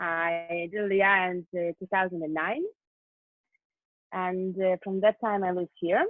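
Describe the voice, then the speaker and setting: A woman with a Russian accent speaks at a fairly slow pace in a medium-pitched voice, her intonation fairly even and her pauses long and frequent. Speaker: LGBT group member, event manager. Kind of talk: interview. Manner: halting.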